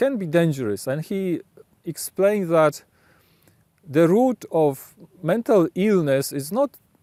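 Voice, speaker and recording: Speaking with a Polish accent, a man with a high pitch and a dark, mellow tone uses lively intonation at a very slow pace, in a dry, close sound with no echo. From Poland. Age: adult. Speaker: video blogger. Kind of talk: reflective monologue. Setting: outdoors, late evening. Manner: halting, frequent self-corrections.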